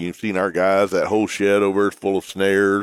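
Speaking with an American accent, a man is heard. He moves along at a fairly quick pace. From Texas. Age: 60s. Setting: live at convention.

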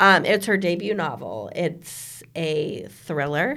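This woman's pitch sits fairly low, with very wide swings. The recording is very clean and the background silent. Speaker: podcast host and book blogger. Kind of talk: casual chat. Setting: studio.

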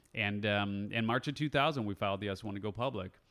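In an American accent, a man with a fairly low pitch speaks at a very fast pace over a very clean recording with a silent background. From Chicago, US Midwest. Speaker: podcast host and entrepreneur. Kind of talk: casual interview chat.

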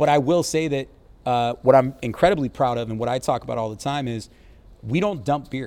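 In an American accent, a man with a normal speaking voice talks at a fairly quick pace, with medium pitch and ordinary pitch variation. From Baltimore, Maryland, US. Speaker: brewery brand ambassador. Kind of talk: casual interview chat.

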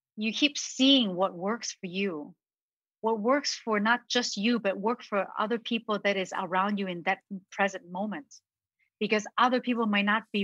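A woman with an ordinary speaking voice, medium pitch and ordinary pitch variation, at a moderate pace, in a dry, close sound with no echo. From Hong Kong, raised in Ohio, US from age 10. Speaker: confidence and communications coach, event host. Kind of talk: interview.

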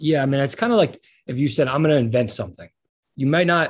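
The speech runs at a very fast pace, somewhat breathy, with ordinary pitch variation over a quiet background. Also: man. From New York. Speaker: rapper. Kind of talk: casual interview.

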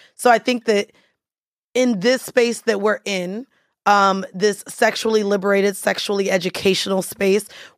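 An unremarkable speaking voice with fairly even intonation, in a dry, close sound with no echo and a very clean recording over a silent background. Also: woman. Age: 30s. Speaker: podcaster and studio owner. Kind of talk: casual chat. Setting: studio.

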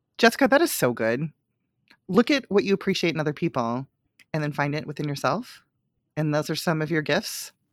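In a very clean recording with a silent background and a dry, close sound with no echo, a woman with a very deep, low pitch talks at a fairly quick pace in an animated tone, using lively intonation and long, frequent pauses. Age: 40s. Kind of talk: casual chat.

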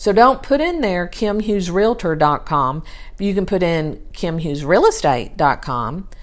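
The speaker talks at a fairly slow pace with a Texas accent, the pitch swinging very widely. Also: woman, medium pitch for a woman. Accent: southern US (Texas). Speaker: podcast host, real estate virtual assistant. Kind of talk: solo podcast monologue, advice talk. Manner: casual, with frequent fillers.

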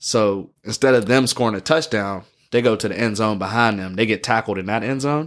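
An unremarkable speaking voice from a man at a medium pitch and fairly quick pace, with ordinary pitch variation in a very clean recording with a silent background. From Pittsburgh, US. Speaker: football fan explaining the sport. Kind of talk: casual chat.

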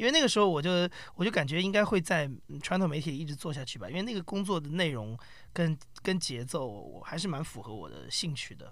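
A man talks at a fairly quick pace in a fairly high pitch, with vocal fry, lively intonation and big swings in loudness. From mainland China. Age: 30s. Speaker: podcast company founder. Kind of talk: casual chat.

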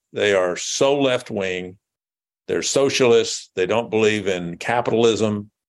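With an American accent and an ordinary speaking voice, a man talks at a fairly slow pace, his pitch fairly low with ordinary pitch variation. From US South, rural west Tennessee. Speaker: businessman and political party figure. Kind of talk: interview.

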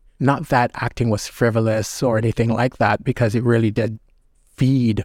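In an ordinary speaking voice, a man talks at medium pitch and a moderate pace with fairly even intonation. The recording is very clean with a silent background and a dry, close sound with no echo. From Jamaica, then Brampton, Canada from age 11. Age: young. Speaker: former actor and arts board chair. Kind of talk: casual interview chat.

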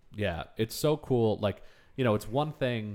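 On a very clean recording with a silent background, a man speaks at a moderate pace with ordinary pitch variation. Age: 30s. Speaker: podcast co-host. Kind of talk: casual chat.

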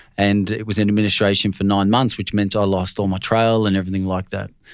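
Speaking at a very fast pace, a man with a fairly low pitch comes through on a very clean recording with a silent background. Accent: Australian. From Australia, Brisbane. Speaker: finance broker. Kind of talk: casual interview.

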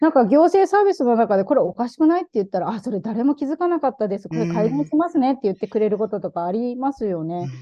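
A woman's fairly high voice at a very fast pace, with very wide pitch swings, big swings in loudness and noticeable background noise. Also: hardly any pauses. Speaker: activist. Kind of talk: casual interview chat.

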